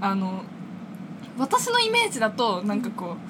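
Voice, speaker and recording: Noticeable background noise around a woman's fairly high voice. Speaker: university student podcast co-host. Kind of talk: casual chat; scripted show outro.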